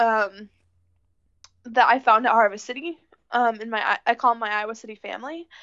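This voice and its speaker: With a Midwestern US accent, a woman talks at a moderate pace in a fairly high voice, leaving long, frequent pauses. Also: big swings in loudness. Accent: US Midwest. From northern Illinois. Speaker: friend of the host. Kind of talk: casual chat. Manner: animated.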